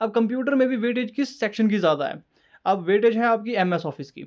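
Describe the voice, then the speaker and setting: A man speaks against a quiet background. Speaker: exam preparation youtuber. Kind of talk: tutorial.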